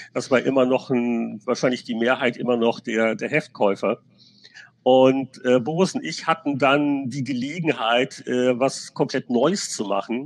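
An unremarkable speaking voice belongs to a man of medium pitch who speaks at a fairly slow pace with ordinary pitch variation. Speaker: games journalist. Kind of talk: casual chat. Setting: video call.

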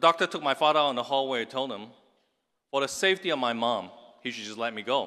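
The voice races at a very fast pace in a bright, sharp tone, with ordinary pitch variation and big swings in loudness, on a very clean recording with a silent background. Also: man, medium pitch for a man. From Hong Kong. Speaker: tech entrepreneur. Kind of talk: commencement speech. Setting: stage with audience.

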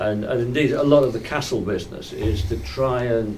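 Noticeable background noise surrounds a man talking at a fairly slow pace. His voice sits at a medium pitch. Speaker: audience member asking question. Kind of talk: Q&A comment.

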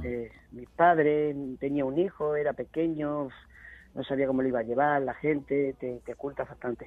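The man's voice is fairly high-pitched and moves at a moderate pace. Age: 40s. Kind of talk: radio interview. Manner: halting.

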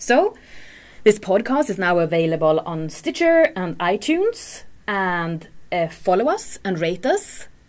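Speaking at a fairly slow pace with a Swedish accent, the voice swings very widely in pitch against a quiet background. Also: woman. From Sweden. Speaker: podcast host. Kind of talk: casual chat. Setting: studio.

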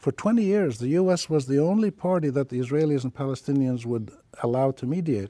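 A man's fairly high, dark and mellow voice, fairly quick and lively, with a dry, close sound and no echo. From Palestine. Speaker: journalist and academic. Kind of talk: interview.

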